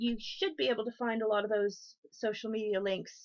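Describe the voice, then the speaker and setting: A woman with an American accent speaks at a moderate pace in a fairly high voice, with ordinary pitch variation against a quiet background. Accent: sounds American. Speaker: craft streamer. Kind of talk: crafting livestream show-and-tell. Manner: casual with frequent ums.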